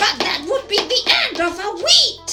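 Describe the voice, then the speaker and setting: This put-on character voice sits at an extremely high pitch. The delivery moves at a fairly slow pace. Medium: read story.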